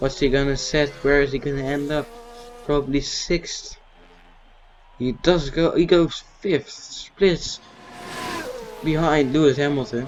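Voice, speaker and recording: Over noticeable background noise, a man with a non-native accent talks at a fairly high pitch with fairly even intonation and long, frequent pauses. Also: fairly slow pace. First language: not English. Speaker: gaming YouTuber. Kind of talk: gameplay commentary. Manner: halting.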